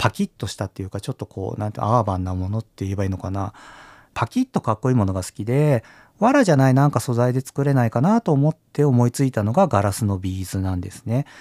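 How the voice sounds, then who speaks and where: Speaking at a very fast pace, a man with a medium-pitched voice has a dark, mellow tone and lively intonation. The recording is very clean and dry, with a silent background, a close sound and no echo. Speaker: podcast host and glass bead designer. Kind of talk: solo podcast monologue. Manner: casual, chatty.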